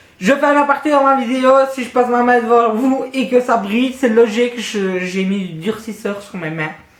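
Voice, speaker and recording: The speaker goes at a moderate pace against noticeable background noise. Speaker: vlogger. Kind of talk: casual Q&A vlog. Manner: loud.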